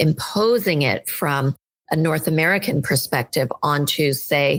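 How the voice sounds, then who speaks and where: Speaking at a fairly slow pace, a woman uses a very deep, low pitch with lively intonation. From United States (immigrant as small child). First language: not English. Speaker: education and leadership consultant. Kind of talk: podcast interview.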